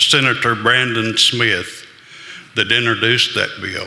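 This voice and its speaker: A man speaks at a fairly slow pace in a medium-pitched voice, with audible room echo and noticeable background noise. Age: 70s. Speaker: audience member, miners' advocate. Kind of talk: public comment.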